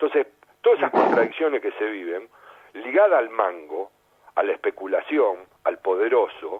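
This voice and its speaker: A man speaks with a Rioplatense accent. His pace is moderate. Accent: Argentine Rioplatense Spanish. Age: 60s. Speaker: sports journalist and former footballer. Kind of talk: radio interview. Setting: radio studio.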